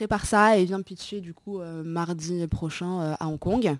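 Dry and close with no echo on a very clean recording with a silent background, a woman's fairly low voice has fairly even intonation, an unremarkable speaking voice. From Morocco. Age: 20s. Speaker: entrepreneur. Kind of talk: casual chat.

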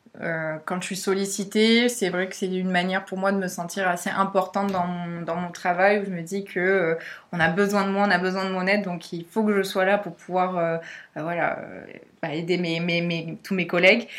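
A woman's medium-pitched voice stays monotone and flat at a moderate speed. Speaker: communications apprentice, master's student. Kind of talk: interview. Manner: hesitant, many fillers.

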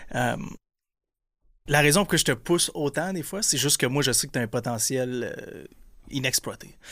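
On a very clean recording with a silent background, a man speaks with vocal fry at a fairly high pitch. His pace is moderate, his pitch variation ordinary, and his pauses long and frequent. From Quebec, Gaspésie (Percé). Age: 30s. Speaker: entrepreneur. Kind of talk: casual chat.

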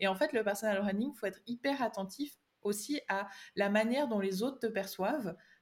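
A woman's unremarkable speaking voice at medium pitch, fairly quick pace and ordinary pitch variation. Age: 20s. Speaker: digital strategy consultant. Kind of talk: podcast interview.

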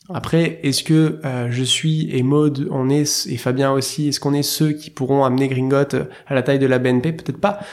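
A man talks at a moderate pace. His pitch is fairly high and his intonation fairly even. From southern France, near Marseille. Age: 30s. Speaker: startup founder and CEO. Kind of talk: interview conversation. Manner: hesitant, many fillers.

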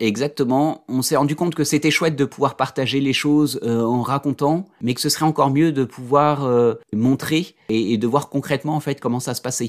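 A man's fairly high voice at a moderate pace, with hardly any pauses and fairly even intonation, on a very clean recording with a silent background. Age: 40s. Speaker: consultant and coach, father of a daughter with Down syndrome. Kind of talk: interview testimony. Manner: hesitant, many fillers and repetitions.

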